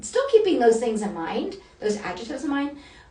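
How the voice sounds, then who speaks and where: A woman with a high-pitched voice talks over noticeable background noise, and audible echo fills the room. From Northern Kentucky, near Cincinnati. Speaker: style coach. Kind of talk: live-streamed workshop. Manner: casual, chatty with fillers.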